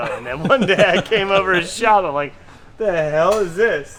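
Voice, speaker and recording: Moderately paced speech from a man, with noticeable background noise behind it. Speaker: drift car builder and suspension specialist. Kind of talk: casual vlog chat. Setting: workshop. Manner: quiet.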